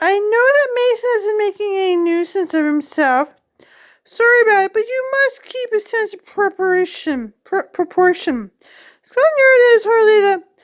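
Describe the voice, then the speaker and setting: In a put-on character voice, a woman speaks at a moderate pace with a strained, squeaky, extremely high pitch. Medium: read story. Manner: firm, restrained.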